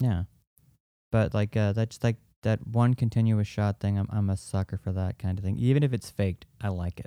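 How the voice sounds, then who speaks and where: An ordinary speaking voice comes from a man with a fairly low pitch and fairly even intonation. He keeps a moderate pace, and the sound is dry and close with no echo. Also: very clean recording, silent background. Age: 30s. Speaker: podcast co-host. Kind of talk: casual chat.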